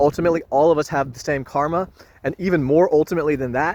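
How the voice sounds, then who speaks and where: This is a man speaking with ordinary pitch variation. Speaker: spiritual vlogger. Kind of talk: casual spiritual monologue. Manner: loud; improvised, informal.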